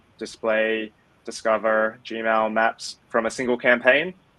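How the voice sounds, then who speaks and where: Speaking with an Australian accent, a man has a bright, sharp tone. He talks at a fairly slow pace. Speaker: tech product lead. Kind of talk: interview.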